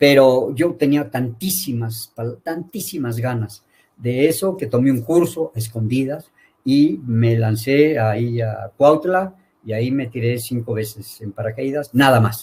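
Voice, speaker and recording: At a fairly slow pace, a man speaks at a medium pitch with ordinary pitch variation, somewhat breathy. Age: 70s. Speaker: veterinarian and university lecturer. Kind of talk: interview.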